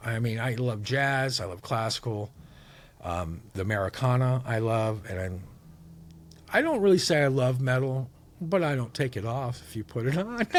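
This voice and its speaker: At a moderate pace, a man of medium pitch speaks in a plain, everyday voice. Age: 60s. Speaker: musician. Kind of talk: casual chat.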